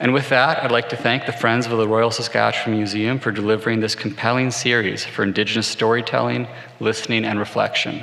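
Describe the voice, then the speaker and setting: A man's very fast, monotone, flat delivery at very even loudness with hardly any pauses, over noticeable background noise. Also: medium pitch for a man. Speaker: corporate executive giving sponsor greetings. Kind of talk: prepared speech. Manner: formal; soft-spoken. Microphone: microphone had problems before, now working.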